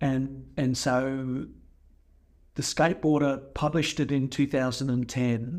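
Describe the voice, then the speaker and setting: A man speaks in a monotone with flat intonation at a fairly slow pace and very even loudness. The recording is very clean, with a silent background. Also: medium pitch for a man. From Australia. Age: 50s. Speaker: skate photographer. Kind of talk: casual chat.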